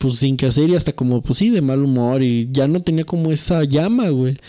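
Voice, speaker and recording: In a Mexican accent, a man speaks with lively intonation. His voice is fairly high, with a dark, mellow tone. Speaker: podcast co-host. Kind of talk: casual chat.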